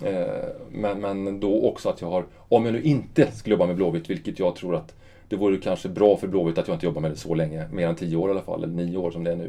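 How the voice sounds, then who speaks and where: A man's very deep, low pitch and dark, mellow tone at a very fast pace, with ordinary pitch variation. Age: 50s. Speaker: football club director. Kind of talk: interview. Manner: halting.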